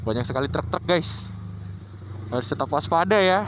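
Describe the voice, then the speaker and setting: A man talks at a fairly quick pace. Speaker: motovlogger. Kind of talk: casual riding vlog commentary. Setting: riding a motorbike in traffic. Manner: slightly stumbling speech.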